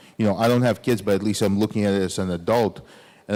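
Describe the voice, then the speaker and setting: This is a very clean recording with a silent background. A man speaks with fairly even intonation. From Soviet Union (Ukraine). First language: Russian. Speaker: author. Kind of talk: audience Q&A at a lecture. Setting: recital hall with audience. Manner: casual, many fillers.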